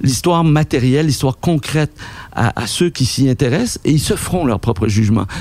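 Over noticeable background noise, a man talks with a fairly high pitch and very wide pitch swings. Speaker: documentary filmmaker and writer. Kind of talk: interview. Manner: halting.

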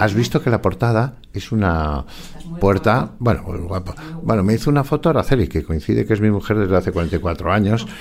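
A man's fairly low voice with vocal fry and very wide pitch swings, at a moderate pace. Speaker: forensic psychologist and author. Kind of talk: interview.

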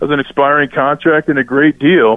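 A man with an American accent and a fairly high pitch talks at a fairly quick pace in a plain, everyday voice. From Minnesota. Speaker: former NFL player. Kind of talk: sports talk radio. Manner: casual.

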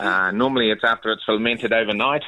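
A man with a New Zealand accent speaks at a very fast pace. Noticeable background noise runs underneath. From Northland, New Zealand. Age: 50s. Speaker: caller. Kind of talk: casual chat. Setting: phone call.

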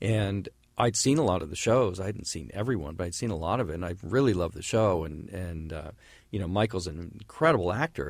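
Here a man with an American accent has a very deep, low pitch. He speaks at a fairly quick pace with lively intonation. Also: very clean recording, silent background. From US West Coast, San Francisco. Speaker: film and TV director. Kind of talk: interview. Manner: halting.

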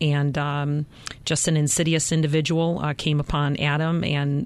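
Her voice very deep and low, a woman talks in a monotone, flat intonation. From Chicago, south side. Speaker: police lieutenant. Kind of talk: interview.

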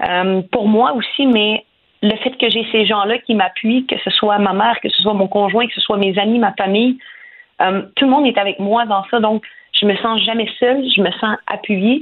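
A woman talks in a plain, everyday voice at a fairly high pitch. Her pace is moderate and her intonation fairly even. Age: 30s. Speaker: professional boxer. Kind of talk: radio interview.

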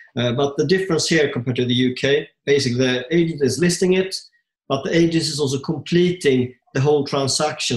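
Somewhat breathy and fairly high-pitched, a man speaks at a very fast pace with ordinary pitch variation. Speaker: podcast co-host, property investor. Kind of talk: casual interview.

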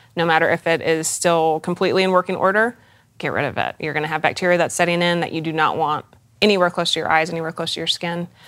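Speaking at a very fast pace, a woman keeps a monotone, flat intonation. Her pitch sits fairly low. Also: very clean recording, silent background. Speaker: esthetician and makeup artist. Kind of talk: casual interview chat explaining skincare. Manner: informal, conversational, fillers.

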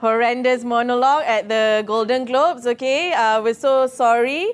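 Speaking fairly slowly, a woman uses a playful tone. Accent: Malaysian. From Malaysia. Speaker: comedian. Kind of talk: stand-up comedy set performed live to an office crowd, punchline-driven. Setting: office stage with live audience. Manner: playful crowd work, tags lines with okay and yeah; stammers and restarts when building jokes.

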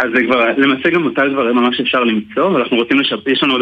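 The speaker has a normal speaking voice, talking at a fairly quick pace with fairly even intonation. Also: man. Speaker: soldier and app developer. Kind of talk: radio interview. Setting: phone call.

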